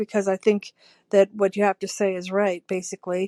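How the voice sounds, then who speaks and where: This woman's voice has a dark, mellow tone. The sound is dry and close, with no echo. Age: 70s. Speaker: caller. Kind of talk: recorded listener question. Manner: halting.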